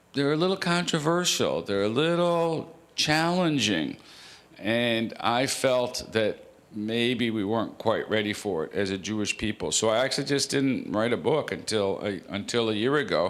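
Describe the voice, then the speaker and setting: With a Canadian accent, a man talks at a moderate pace in a medium pitch. His intonation is lively, and the room echo is audible. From Canada. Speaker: rabbi and author. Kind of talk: author talk to congregation.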